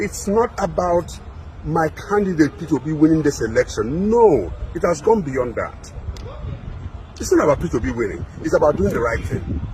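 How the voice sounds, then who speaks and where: With a Nigerian accent, a man speaks in an animated tone at a moderate pace. Long, frequent pauses break his speech over noticeable background noise. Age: 60s. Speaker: political commentator. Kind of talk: impassioned broadcast address.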